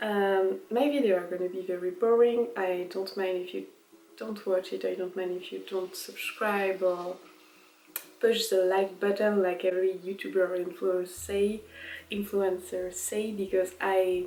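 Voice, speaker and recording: In a French accent, a woman speaks at a fairly slow pace with fairly even intonation. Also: medium pitch for a woman. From France. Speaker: vlogger. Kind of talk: casual vlog monologue.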